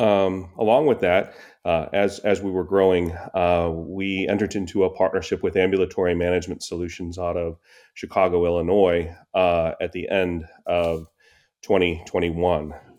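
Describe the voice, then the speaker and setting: At a moderate pace, a man with an American accent talks in a very deep, low, monotone voice with flat intonation. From Buffalo, New York. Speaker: anesthesiologist, practice founder. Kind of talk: interview. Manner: hesitant with frequent fillers.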